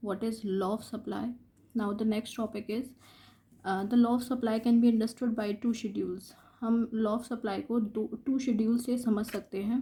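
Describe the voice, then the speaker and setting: A woman's fairly high, somewhat breathy voice has a dark, mellow tone and monotone, flat intonation, on a very clean recording with a silent background. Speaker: economics teacher. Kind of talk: lecture.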